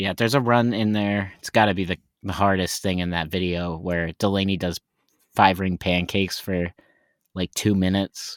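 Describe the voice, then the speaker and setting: Someone with an American accent speaks at a moderate pace with fairly even intonation. The sound is dry and close with no echo, on a very clean recording with a silent background. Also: man, very deep, low pitch for a man. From Texas. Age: 20s. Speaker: professional juggler. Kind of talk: casual chat.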